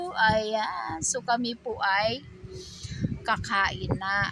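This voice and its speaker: This is a woman's voice. Her pitch is fairly high. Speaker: cooking vlogger. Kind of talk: tutorial. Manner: animated.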